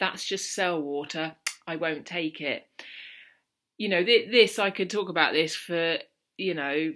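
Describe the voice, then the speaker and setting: In a South London accent, a woman speaks with a bright, sharp tone at a fairly low pitch and ordinary pitch variation. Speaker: mental health vlogger. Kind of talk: casual talk to camera.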